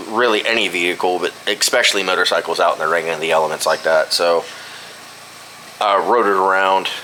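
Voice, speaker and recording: Noticeable background noise sits behind the speaker. He is a man with a fairly low pitch. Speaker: vlogger. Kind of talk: casual chat. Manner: halting, many fillers.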